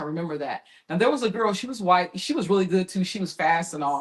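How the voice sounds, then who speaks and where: The delivery is animated and very fast. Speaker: podcast co-host. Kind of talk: casual chat.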